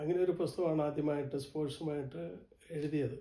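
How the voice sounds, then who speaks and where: In a normal speaking voice, a man talks with fairly high pitch and fairly even intonation. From Kerala, India. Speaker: writer. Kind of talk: interview.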